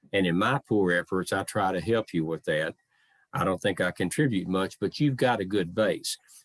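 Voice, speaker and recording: A man with a very deep, low voice and a Southern accent at a moderate pace, with ordinary pitch variation, very even loudness, a dry, close sound with no echo, and a quiet background. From US South, Memphis, Tennessee. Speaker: living historian. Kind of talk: talk to online audience. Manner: measured phrasing.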